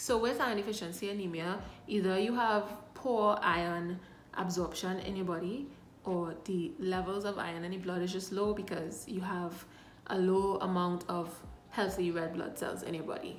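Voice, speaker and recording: A woman speaks at a moderate pace with fairly even intonation. Audible room echo and noticeable background noise accompany her. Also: medium pitch for a woman. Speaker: health vlogger. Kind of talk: casual vlog.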